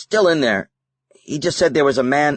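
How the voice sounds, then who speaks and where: A man puts on a raspy character voice at a fairly high pitch. His intonation is lively and his pace moderate. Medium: read story. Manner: gruff, stubborn.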